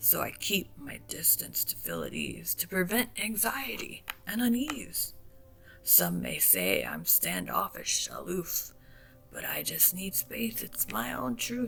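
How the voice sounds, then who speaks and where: A put-on character voice, raspy and guttural, comes at a fairly slow pace. Clear music plays in the background. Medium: read story. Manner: slow, soft-spoken.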